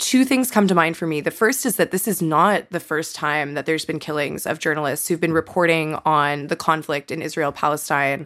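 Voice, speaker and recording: Her pitch is very deep and low as this woman talks at a fairly quick pace. She takes hardly any pauses. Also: ordinary pitch variation, very clean recording, silent background. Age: 20s. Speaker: podcast host appearing as guest. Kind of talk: casual chat.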